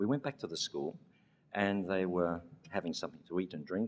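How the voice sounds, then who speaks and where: An Australian-accented man at a fairly quick pace. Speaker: education leader receiving award. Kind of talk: award acceptance speech with storytelling.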